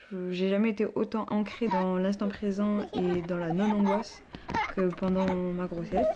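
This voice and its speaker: A woman's fairly slow delivery comes through noticeable background noise. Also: medium pitch for a woman. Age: 20s. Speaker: student and young mother. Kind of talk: interview testimony. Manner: hesitant, many fillers.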